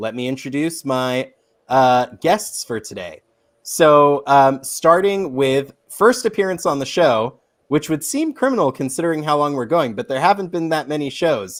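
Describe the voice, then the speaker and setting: On a very clean recording with a silent background, a man with a plain, everyday voice speaks at a moderate pace, his pitch fairly high and his intonation lively. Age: 30s. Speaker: podcast host. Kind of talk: casual chat.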